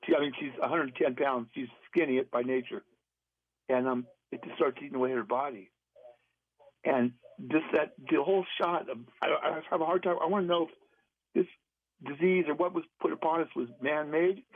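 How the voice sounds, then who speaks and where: Using a fairly high pitch and ordinary pitch variation, a man talks at a fairly quick pace broken by long, frequent pauses. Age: 60s. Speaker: caller. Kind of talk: emotional personal story on call-in radio. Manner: halting.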